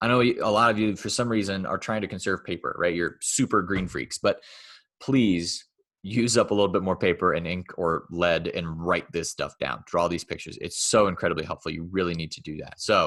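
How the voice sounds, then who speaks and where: Here a man talks at a fairly quick pace. The background is quiet. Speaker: math teacher. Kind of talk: lecture. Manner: casual.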